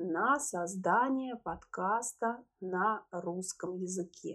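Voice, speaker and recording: Very slowly, a woman talks as her pitch swings very widely. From Russia, Moscow. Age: 30s. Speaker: podcast host, language teacher. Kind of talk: language-learner podcast monologue. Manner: clear, measured for learners.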